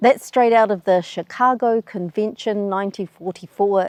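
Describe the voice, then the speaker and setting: The speaker has a New Zealand accent. The sound is dry and close with no echo. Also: woman. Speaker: travel YouTuber. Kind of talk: explainer video.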